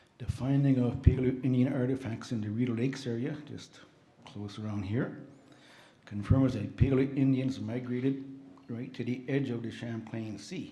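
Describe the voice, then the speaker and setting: A soft-spoken man with a medium-pitched, dark and mellow voice speaks at a moderate pace, his intonation fairly even and his breath somewhat audible, with audible room echo around him. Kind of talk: slide presentation at a conference.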